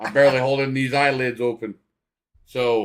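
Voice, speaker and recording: A man keeps a fairly even intonation while talking at a medium speed. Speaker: sports streamer. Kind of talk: live commentary. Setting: live stream. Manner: low-energy.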